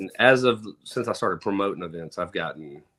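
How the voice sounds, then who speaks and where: A man speaks with a Southern US accent. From Mississippi. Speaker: truck show promoter. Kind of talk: casual chat. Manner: casual, hesitant with fillers.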